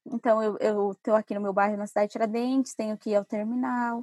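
A woman speaks at a fairly high pitch in a somewhat breathy voice, at a fairly quick pace. Her intonation is fairly even, and the sound is dry and close with no echo. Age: 20s. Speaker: urban mobility specialist. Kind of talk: interview.

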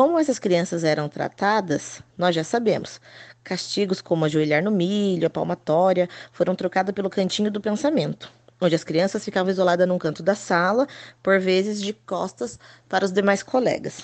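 In a normal speaking voice, a woman talks at medium pitch and a moderate pace with ordinary pitch variation, against a quiet background. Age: 30s. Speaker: preschool teacher. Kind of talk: scripted narration.

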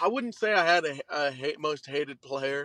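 With an Oklahoma accent, a man speaks at a moderate pace with a fairly high pitch and a bright, sharp tone, in a dry, close sound with no echo. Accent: Oklahoma Southern American. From western Oklahoma, Shattuck. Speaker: college baseball pitcher. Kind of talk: interview.

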